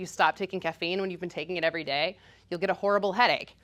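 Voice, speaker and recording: Recorded very cleanly with a silent background, a woman speaks at medium pitch in a bright, sharp tone. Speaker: physician. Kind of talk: presentation. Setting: meeting with audience. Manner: fast.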